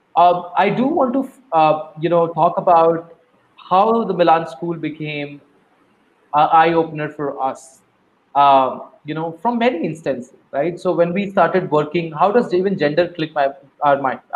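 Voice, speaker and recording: A man speaks at a moderate pace with a high pitch and ordinary pitch variation. His long pauses come often. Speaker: nonprofit CEO. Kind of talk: interview. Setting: video call.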